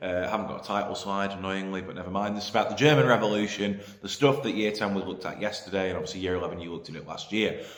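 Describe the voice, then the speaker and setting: A man's fairly low voice at a very fast pace, hardly any pauses, ordinary pitch variation, audible room echo and noticeable background noise. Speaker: history teacher. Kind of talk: lecture. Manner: hesitant, many fillers.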